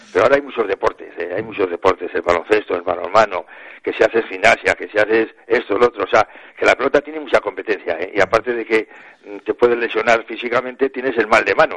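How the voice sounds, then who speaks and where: At a very fast pace, a man speaks in a dry, close sound with no echo. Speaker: retired pelota player. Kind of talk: radio interview.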